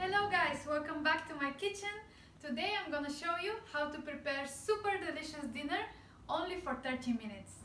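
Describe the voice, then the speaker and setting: In a Bulgarian accent, a woman with a high, raised, projected voice speaks at a fairly quick pace with lively intonation and audible room echo. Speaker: cooking channel host. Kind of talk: cooking tutorial. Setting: home kitchen.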